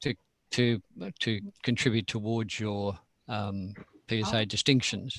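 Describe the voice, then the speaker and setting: With an Australian accent, a man speaks fairly slowly at a fairly low pitch, his fairly even intonation broken by long, frequent pauses in a dry, close sound with no echo. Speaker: nature photographer and club speaker. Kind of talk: presentation to a camera club. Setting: video call. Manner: hesitant, many fillers.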